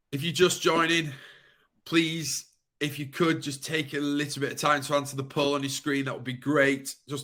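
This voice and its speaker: Bright and sharp in tone, a man with a northern English accent speaks at a moderate pace and fairly high pitch, his intonation monotone and flat. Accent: broad northern English. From Yorkshire, northern England. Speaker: webinar presenter. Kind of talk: webinar host waiting-room chat. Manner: casual, filler-heavy.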